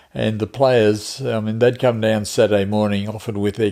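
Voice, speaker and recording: Fairly low male voice with an Australian accent, a dark, mellow tone and monotone, flat intonation. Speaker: retiree. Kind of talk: interview.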